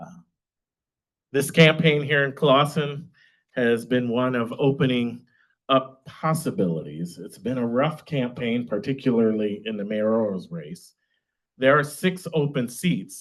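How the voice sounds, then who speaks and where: This is a normal speaking voice at a fairly slow pace. The intonation is lively. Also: man, medium pitch for a man, big swings in loudness. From Michigan, Midland area. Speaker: pastor and city council candidate. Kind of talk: campaign speech at meeting.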